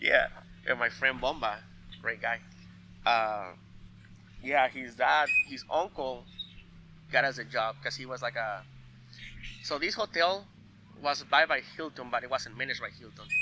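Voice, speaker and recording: A man with a medium-pitched, bright, sharp tone speaks at a moderate pace, pausing long and often, his loudness swinging widely. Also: ordinary pitch variation. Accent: Spanish. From Mexico (Veracruz). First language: Spanish. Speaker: cook. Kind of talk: casual chat. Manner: halting, many fillers.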